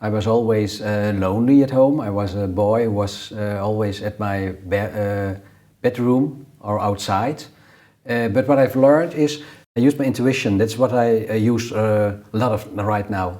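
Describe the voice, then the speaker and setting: This man speaks with a Dutch accent at a moderate pace. His fairly low voice has a dark, mellow tone and ordinary pitch variation. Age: 60s. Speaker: numerologist. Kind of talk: interview. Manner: halting.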